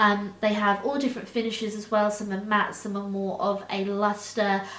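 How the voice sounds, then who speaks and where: Her delivery is monotone and flat at a moderate pace. Noticeable background noise and audible room echo surround the woman's voice. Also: medium pitch for a woman. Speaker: beauty vlogger. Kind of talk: product review monologue.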